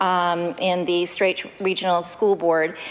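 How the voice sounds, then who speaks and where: A woman's voice with noticeable background noise. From Cape Breton, Nova Scotia (Acadian, Isle Madame). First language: French. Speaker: politician. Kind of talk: legislative speech. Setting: legislature chamber. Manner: hesitant, many fillers.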